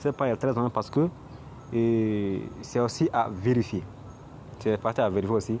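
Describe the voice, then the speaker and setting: A man with a medium pitch and a dark, mellow tone talks at a moderate pace, using ordinary pitch variation, very even loudness, and long, frequent pauses. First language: not French (speaking French). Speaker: crypto YouTuber. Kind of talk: screen tutorial. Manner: halting, many repetitions.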